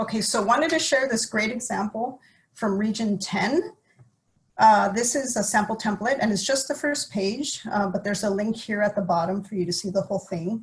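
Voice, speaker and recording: Somewhat breathy, a woman speaks in a fairly high pitch with ordinary pitch variation. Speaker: environmental agency staff presenter. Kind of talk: webinar presentation. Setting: virtual webinar with screen sharing. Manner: fast.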